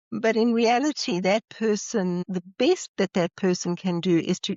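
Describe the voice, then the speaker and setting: A woman speaks in a South African accent. Her intonation is lively. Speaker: psychologist and leadership trainer. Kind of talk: podcast interview.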